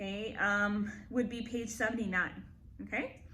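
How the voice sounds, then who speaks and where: A loud female voice at a fairly slow pace, with ordinary pitch variation and audible room echo. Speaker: elementary school teacher. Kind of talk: online lesson. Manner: animated.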